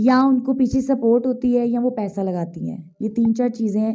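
At a fairly slow pace, a woman speaks with a fairly high pitch, a dark, mellow tone and fairly even intonation. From Pakistan. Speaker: stage actress and dancer; stage actress. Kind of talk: interview. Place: home room. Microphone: handheld.

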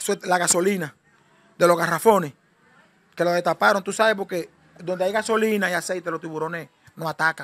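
A man's high-pitched voice at a fairly quick pace, with fairly even intonation. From Dominican Republic. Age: 40s. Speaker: shipwreck survivor. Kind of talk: interview testimony. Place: home room. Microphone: handheld.

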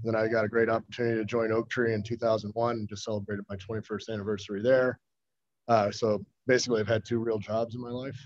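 A man with an American accent speaks at a very fast pace, with medium pitch and monotone, flat intonation. The sound is dry with no echo, over a quiet background. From US Midwest, Chicago suburbs; Illinois. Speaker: investment fund manager. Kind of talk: formal hearing testimony. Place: meeting room. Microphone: podium.

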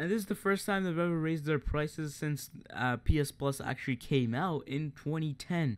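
This man has a normal speaking voice, talking at a moderate pace with ordinary pitch variation. The recording is very clean and the background silent. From Canada.

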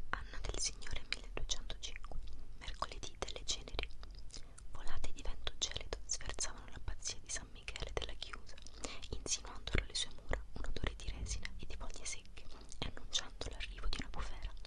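Rather quickly, a woman whispers her words. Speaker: ASMR creator. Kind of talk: ASMR book reading, whispered to help sleep. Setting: close microphone, mouth sounds. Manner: whispered, soft-spoken. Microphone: studio mic.

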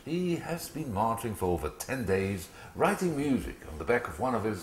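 A natural voice reads the text aloud.

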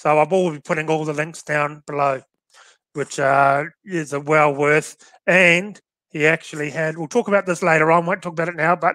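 A man with an Australian accent, fairly high-pitched, bright and sharp in tone, at a moderate pace with fairly even intonation, dry and echo-free against a quiet background. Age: 40s. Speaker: shooting podcast host. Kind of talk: casual chat. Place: home room. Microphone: headset.

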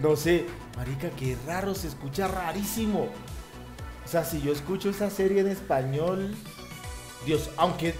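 Clear music plays in the background. Over it, a man speaks at a high pitch. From Colombia. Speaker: YouTube reactor. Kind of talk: casual reaction talk to camera. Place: home room. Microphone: headset.

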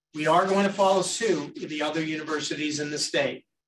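A fairly high-pitched man in a monotone, flat intonation, with light background noise. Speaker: university president. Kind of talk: campus update address with Q&A. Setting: stage with audience, streamed on Zoom. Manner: loud. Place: meeting room.

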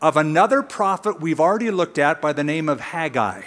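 The background is quiet as a man talks at a medium pace. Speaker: pastor teaching. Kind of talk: sermon. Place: stage. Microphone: headset.

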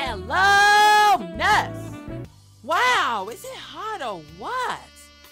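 With faint music in the background, a man uses a raised, projected put-on character voice. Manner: relaxed, casual.

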